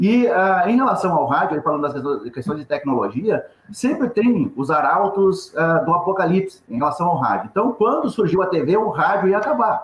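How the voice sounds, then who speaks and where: A man's high voice at a moderate pace, with very wide pitch swings and hardly any pauses. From Rio Grande do Sul, Brazil. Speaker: journalist and radio news agency founder. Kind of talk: webinar panel discussion.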